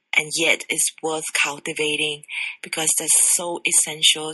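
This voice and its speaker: Very deep and low in pitch, a woman speaks at a fairly slow pace in a dry, close sound with no echo. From Singapore. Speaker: sexologist. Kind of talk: interview.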